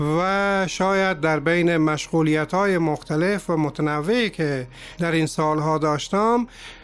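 At a fairly slow pace, a man talks in a high pitch with ordinary pitch variation and very even loudness. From Afghanistan (Herat, Kabul). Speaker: poet and podcast host. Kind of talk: scripted podcast introduction.

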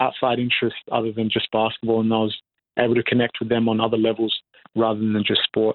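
This man has an Australian accent. He talks at a very fast pace. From Perth, Western Australia (born South Sudan). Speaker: professional basketball player. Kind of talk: interview. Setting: remote call from New Zealand.

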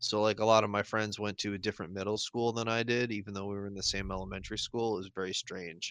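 A man at a very fast pace with hardly any pauses, fairly low pitch and monotone, flat intonation, in a dry, close sound with no echo and a quiet background. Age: 30s. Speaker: podcast co-host. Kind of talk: casual chat.

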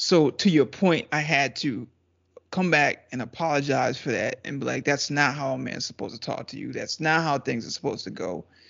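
A fairly high-pitched man's voice with vocal fry, ordinary pitch variation, big swings in loudness and a fairly quick pace. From Trinidad. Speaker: podcast guest, video editor. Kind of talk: casual chat. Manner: laughs often.

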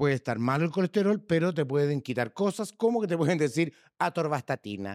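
In a Chilean accent, a man talks fairly quickly at a fairly high pitch with very wide pitch swings and very even loudness, the sound dry and close with no echo. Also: very clean recording, silent background. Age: 60s. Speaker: podcast co-host. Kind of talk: casual chat.

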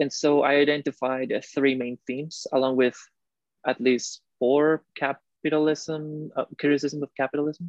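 With a Spanish accent, a man speaks in a fairly high pitch at a moderate pace, his intonation monotone and flat and the sound dry and close with no echo. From Costa Rica. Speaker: recent graduate student. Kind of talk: interview. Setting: video call.

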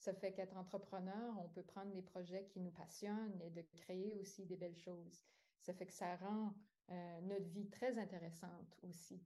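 A woman speaks at medium pitch in a dark, mellow tone. Her delivery is a flat monotone at a fairly slow pace. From New Brunswick. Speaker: yoga teacher and entrepreneur. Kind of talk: interview.

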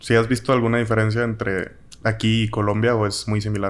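A man's medium-pitched voice in a Mexican accent, monotone and flat, at a fairly quick pace on a very clean recording with a silent background. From Mexico. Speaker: podcast host. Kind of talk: casual chat. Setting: in person in Mexico City.

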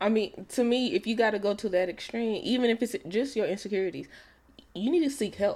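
A woman speaks at a fairly quick pace in a normal speaking voice. Her pitch is fairly high, with ordinary pitch variation. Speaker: podcast co-host. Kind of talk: casual chat.

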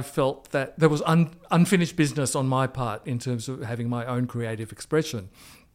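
On a very clean recording with a silent background, a man with an Australian accent speaks at a moderate pace with ordinary pitch variation. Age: 60s. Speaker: arts manager and PhD candidate. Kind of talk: interview. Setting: office. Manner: halting, many fillers.

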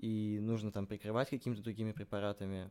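A man talks at a fairly quick pace in a normal speaking voice with a fairly low pitch. The recording is very clean, with a silent background. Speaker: podcast host. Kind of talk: casual chat.

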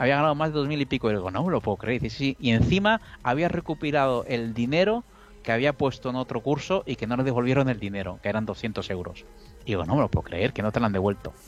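Over music in the background, a man of medium pitch speaks at a very fast pace with lively intonation. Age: 50s. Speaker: professional trader. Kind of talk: casual chat.

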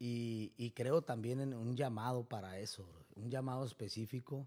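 With a plain, everyday voice, a man talks at a medium pitch and a fairly slow pace. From Mexico, Tijuana. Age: 30s. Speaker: barber and preacher. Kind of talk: testimony. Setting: barbershop.

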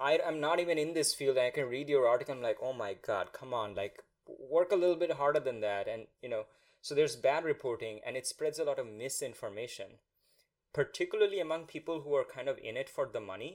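A man with a Bengali accent talks at a fairly quick pace. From India. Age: 30s. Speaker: podcast host. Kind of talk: scripted narration; interview conversation. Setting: video call.

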